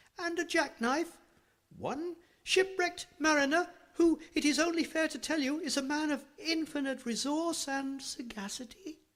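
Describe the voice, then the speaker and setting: A squeaky, high-pitched put-on character voice speaks at a moderate pace. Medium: read story. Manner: sly, flattering.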